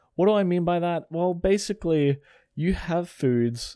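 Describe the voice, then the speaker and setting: Speaking at a fairly slow pace, a man with an Australian accent has a dark, mellow tone. The very clean recording sounds dry and close, with no echo and a silent background. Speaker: personal trainer and podcast host. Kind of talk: casual monologue. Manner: animated.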